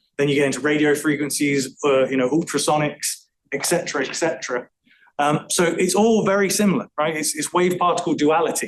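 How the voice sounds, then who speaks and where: This man has an English accent and a fairly high pitch. He talks at a fairly quick pace with ordinary pitch variation. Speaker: acoustical engineer presenting a talk. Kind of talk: technical presentation. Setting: room with live audience. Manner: fast; talkative, chatty.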